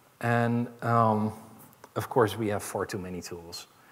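A man speaks very slowly, his intonation fairly even. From Netherlands. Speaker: chief information security officer; keynote speaker. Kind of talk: keynote speech. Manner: hesitant, many fillers. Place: stage. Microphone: headset.

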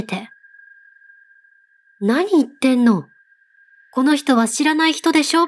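The woman talks at a fairly slow pace. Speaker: ghost story narrator. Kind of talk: story reading.

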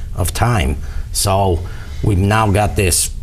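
A man talks at a fairly slow pace with ordinary pitch variation. It is an ordinary speaking voice. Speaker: candidate. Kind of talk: interview answer. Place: studio. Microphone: lapel.

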